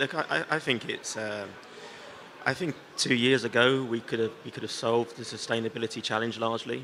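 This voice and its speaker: A man at a medium pitch, talking at a fairly quick pace over noticeable background noise. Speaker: company CEO. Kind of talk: panel discussion. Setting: conference stage with audience.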